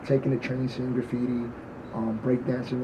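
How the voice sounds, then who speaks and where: A man with a New York accent, medium pitch and moderate pace, against noticeable background noise. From New York, the Bronx. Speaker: party promoter and artist. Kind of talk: casual chat.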